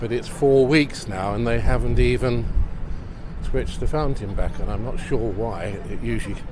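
A moderate pace with noticeable background noise. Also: dry sound with no echo. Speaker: local city videographer. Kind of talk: casual walking-tour commentary. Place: street.

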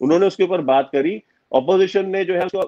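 Against a quiet background, a man talks at a moderate pace. His pitch is high. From India. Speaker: geopolitical analyst. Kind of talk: interview. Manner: forthright, forceful. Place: home room. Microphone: video call.

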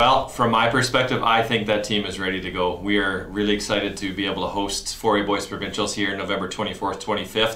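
This man's pitch sits fairly low and his intonation stays fairly even. He keeps a moderate pace, with audible room echo. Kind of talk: announcement to camera. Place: office.

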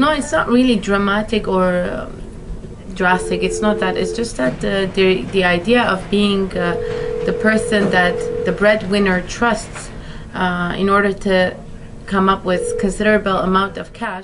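A woman's voice with ordinary pitch variation amid noticeable background noise. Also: fairly slow pace. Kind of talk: interview answer. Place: office. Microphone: camera far.

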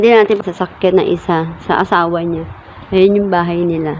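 Through noticeable background noise comes a woman's voice. She speaks fairly low and at a fairly slow pace. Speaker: vlogger. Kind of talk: casual vlog narration. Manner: animated.

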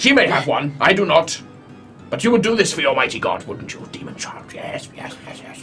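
Someone performs a put-on character voice at a moderate pace while music plays clearly in the background. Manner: grandiose, shouting, unhinged.

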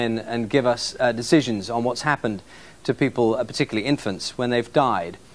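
A man with a British accent at a fairly quick pace. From England. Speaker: news presenter. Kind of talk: studio discussion. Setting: studio. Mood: serious, measured. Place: studio. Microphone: lapel.

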